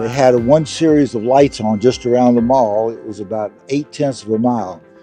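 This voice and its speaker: Music plays behind a man speaking at a fairly quick pace. His voice sits at a medium pitch with ordinary pitch variation. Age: 80s+. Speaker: retired engineer and competitive cyclist. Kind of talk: interview answer.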